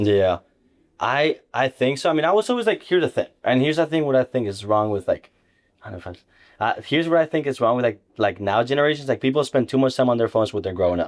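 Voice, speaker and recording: With a Spanish accent, a man talks at a very fast pace in an energetic tone, at medium pitch with lively intonation. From Ibiza, Spain, then Nebraska from age 12. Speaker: insurance agent. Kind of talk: casual interview.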